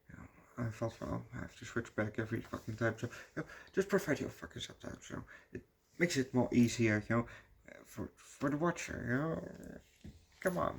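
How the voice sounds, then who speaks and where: A man's medium-pitched voice with vocal fry, lively intonation, a fairly quick pace and big swings in loudness. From Netherlands. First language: Dutch. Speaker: movie reviewer. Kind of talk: casual video review. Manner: halting, many fillers.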